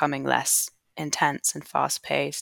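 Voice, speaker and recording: An English accent shapes the speech. Nothing can be heard behind the voice in this very clean recording. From England. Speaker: artist and embodiment educator. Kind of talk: interview conversation.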